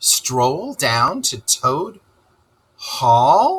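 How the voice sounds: A man does a put-on character voice at medium pitch with very wide pitch swings. His delivery is very slow, with a husky, rough edge and a fairly bright tone.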